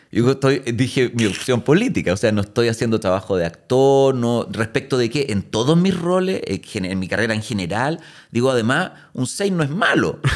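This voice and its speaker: A man with a Chilean accent talks at a medium pitch and moderate pace, his pitch swinging very widely. The recording is very clean, with a silent background. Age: 40s. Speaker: actor. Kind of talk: casual chat.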